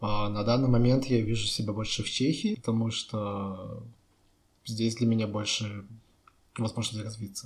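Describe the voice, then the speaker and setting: The delivery is monotone and flat at a moderate pace, with long, frequent pauses. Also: man, fairly low pitch for a man. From Russia, Chelyabinsk. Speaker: architect. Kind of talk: casual chat.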